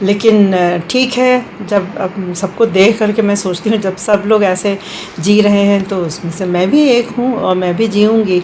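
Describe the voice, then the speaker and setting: Over clear background noise, a woman talks in a mid-range pitch that rises and falls in an ordinary way. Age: 70s. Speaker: retired official, senior citizen. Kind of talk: personal testimony. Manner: halting, many fillers.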